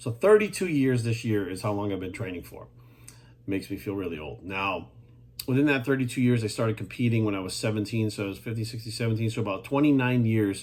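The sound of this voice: At a moderate pace, a man speaks with a slightly mellow tone, fairly low pitch and ordinary pitch variation.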